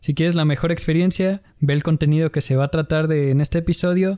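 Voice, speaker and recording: A plain, everyday voice from a man, fairly high in pitch, with a dry, close sound and no echo. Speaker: podcast host. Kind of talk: casual chat.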